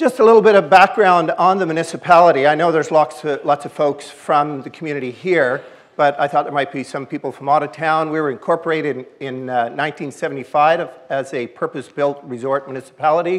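A man talks at a fairly quick pace, his pitch varying an ordinary amount. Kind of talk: public presentation. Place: hall. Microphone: podium.

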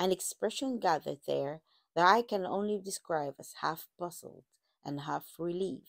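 A quiet background and reading aloud in a natural voice

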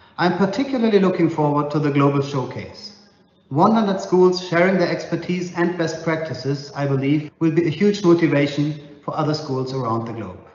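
In audible room echo, a man talks at a moderate pace with ordinary pitch variation. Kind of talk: prepared video message. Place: home room. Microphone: lapel.

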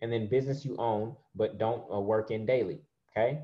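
A man's voice sits at medium pitch and is somewhat breathy. His pitch varies in an ordinary way over a quiet background. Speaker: online preacher and money teacher. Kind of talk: sermon mixed with teaching and slides; guided meditation, eyes closed visualization. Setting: video call. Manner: animated, warm, encouraging. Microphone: webcam.

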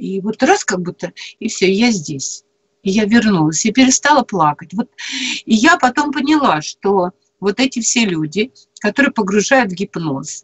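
Her pitch is fairly high and swings very widely. The woman's voice is somewhat breathy, and her pace moderate. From Perm region, Russia. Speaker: storyteller and former teacher; storyteller, former teacher. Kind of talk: live radio talk. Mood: earnest, animated storytelling. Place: home room. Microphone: video call.

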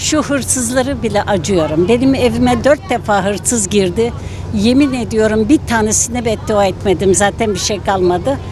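Over noticeable background noise, a woman speaks with hardly any pauses and very wide pitch swings, in a dry sound with no echo. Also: medium pitch for a woman, moderate pace. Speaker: passer-by interviewee. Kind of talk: street interview. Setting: outdoors. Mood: upset, indignant. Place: street. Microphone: handheld.

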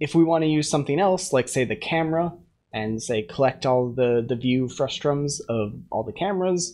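Over silence, the words come at a moderate pace. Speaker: programmer streamer. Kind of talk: tutorial. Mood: relaxed, occasionally laughing. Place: home room.

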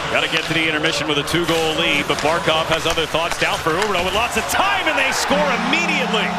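A man with a high voice talks at a very fast pace and very even loudness against noticeable background noise. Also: ordinary pitch variation, hardly any pauses. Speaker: play-by-play commentator. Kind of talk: live sports commentary, play-by-play over game highlights. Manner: fast, clipped, excitable call that rises on goals; rapid-fire, terse phrases.

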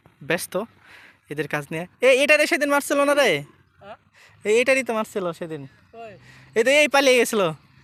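This man's voice sits at an extremely high pitch and moves through very wide pitch swings. Its tone is bright and sharp. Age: 20s. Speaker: village vlogger. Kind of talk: casual chat; vlog narration. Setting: outdoors.

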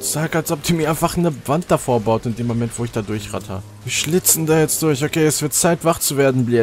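An excited man's fairly high voice with lively intonation at a moderate pace, dry with no echo, faint music in the background. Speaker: gamer streamer. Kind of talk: casual gaming commentary to camera. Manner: excited, swearing, frustrated while playing. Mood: frustrated near the end. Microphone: studio mic.

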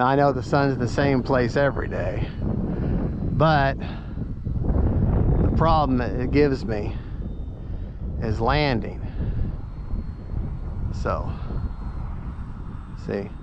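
A man speaks at a slow pace with ordinary pitch variation and long, frequent pauses. Background noise is clear. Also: medium pitch for a man.

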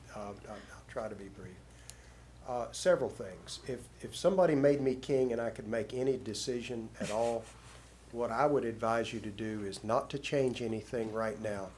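Amid audible room echo, the speech keeps a moderate pace with ordinary pitch variation and big swings in loudness. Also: man, medium pitch for a man. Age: 60s. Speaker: resident speaking at meeting. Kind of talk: public comment.

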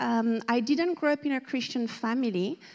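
With a French accent, a woman speaks in a fairly high voice with a dark, mellow tone and ordinary pitch variation over a quiet background. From France, outside Paris. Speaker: surfer, ministry speaker; speaker. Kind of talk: testimony. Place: church.

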